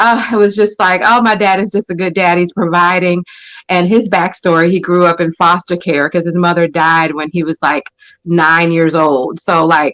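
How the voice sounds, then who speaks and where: Fairly even intonation and a moderate pace in a normal speaking voice. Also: woman, fairly low pitch for a woman. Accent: American. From United States, military family. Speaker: panel guest. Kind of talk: casual panel discussion.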